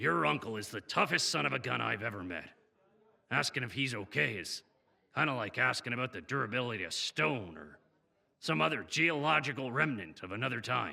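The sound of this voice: A man puts on a character voice at a medium pitch, bright and sharp with vocal fry. His pitch swings widely and his pace is fairly quick.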